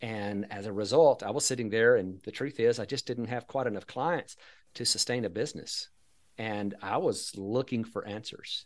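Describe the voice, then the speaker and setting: Speaking at a moderate pace with an American accent, a man with a medium pitch shows ordinary pitch variation against a quiet background. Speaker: financial advisor and Social Security educator. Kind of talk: casual interview.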